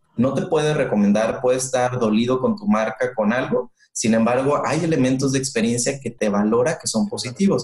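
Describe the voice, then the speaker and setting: A man with a plain, everyday voice speaks at a moderate pace and a medium pitch. His pitch varies ordinarily, and he hardly pauses at all. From northern Mexico, Monterrey. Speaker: customer experience manager. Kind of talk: interview.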